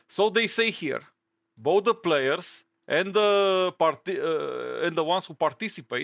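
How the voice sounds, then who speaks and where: A man with a Romanian accent speaks at a moderate pace. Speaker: gaming YouTuber. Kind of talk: commentary reading aloud official statements. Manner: halting.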